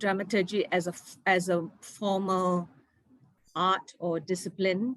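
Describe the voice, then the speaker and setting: The woman speaks at a fairly slow pace. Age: 60s. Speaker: theatre practitioner. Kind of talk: online panel discussion. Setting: video call. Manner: halting.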